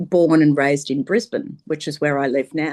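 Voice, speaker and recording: The speaker talks in a Queensland accent. The background is quiet. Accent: Queensland Australian. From Queensland, Australia.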